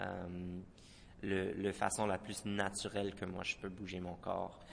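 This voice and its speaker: Speaking very slowly, a man talks with an English accent. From Moncton, New Brunswick. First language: English (speaking French). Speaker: dancer and choreographer. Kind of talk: radio interview. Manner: halting, many repetitions.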